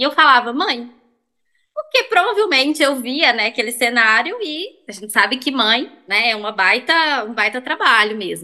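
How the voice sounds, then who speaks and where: A woman projects a raised voice with a bright, sharp tone and lively intonation. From Belo Horizonte, Brazil. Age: 20s. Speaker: sex therapist. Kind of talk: casual chat.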